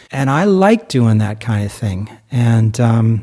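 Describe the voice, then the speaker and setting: A man speaks with a slight New Jersey accent. His pace is very slow. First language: German. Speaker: musician and podcast co-host. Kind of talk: casual chat. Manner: animated.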